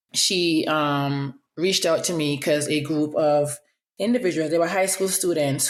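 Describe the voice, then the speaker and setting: A woman with an Antiguan accent speaks in a very deep, low voice, and her pitch varies in an ordinary way. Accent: Antiguan accent, slight twang. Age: 30s. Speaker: podcast host, public health professional. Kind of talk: casual podcast monologue. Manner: fast; occasional stutter when fast.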